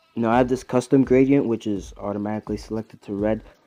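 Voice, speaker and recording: A man speaks with fairly even intonation while music plays in the background. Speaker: YouTuber making tutorials. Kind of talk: tutorial. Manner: casual, hesitant with fillers.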